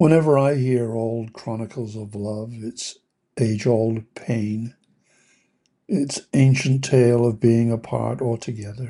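Delivered at a very slow pace, a man's voice sits at a medium pitch with a dark, mellow tone and fairly even intonation. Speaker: meditation podcast host reading a poem. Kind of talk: poem reading, gentle guided meditation tone. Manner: slow, tender and contemplative; heartfelt, with soft pauses.

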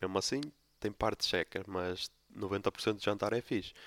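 At a moderate pace, the voice comes through dry and close with no echo on a very clean recording with a silent background. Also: man. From Portugal, Póvoa de Lanhoso (Minho). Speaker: podcast host. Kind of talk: casual solo monologue.

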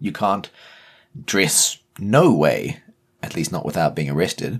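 In a New Zealand accent, a man talks at a fairly slow pace with lively intonation and a very deep, low pitch. The recording is very clean, with a silent background. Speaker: podcast co-host. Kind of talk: casual chat.

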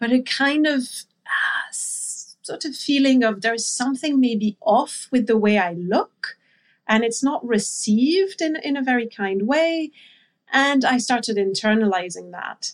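This woman has a high pitch and a French accent. She talks at a fairly slow pace with lively intonation. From France. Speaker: intuitive eating and body image coach. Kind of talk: interview conversation.

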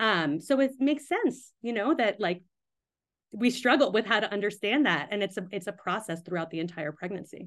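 A woman with an unremarkable speaking voice, pitched in the medium range, talks at a fairly quick pace. Her intonation is lively, and the background is quiet. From US, Pakistani-American family. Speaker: midwife and writer. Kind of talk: interview conversation.

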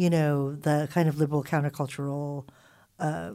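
In a Californian accent, the voice has a dark, mellow tone at a moderate pace, recorded very cleanly against a silent background. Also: woman. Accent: Californian American English. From Philippines and Southern California. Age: 40s. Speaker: college professor and author. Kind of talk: casual chat.

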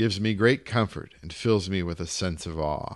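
A man speaks at a moderate pace in an unremarkable speaking voice, with ordinary pitch variation against a quiet background. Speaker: audiobook reader. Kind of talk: literary audiobook reading of a short story. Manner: measured, polished literary narration.

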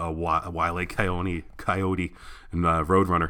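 On a very clean recording with a silent background, a man speaks at a very deep, low pitch in a bright, sharp tone. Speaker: podcast host and artist. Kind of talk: casual solo podcast monologue. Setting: home recording in apartment. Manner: fast; animated, many fillers.

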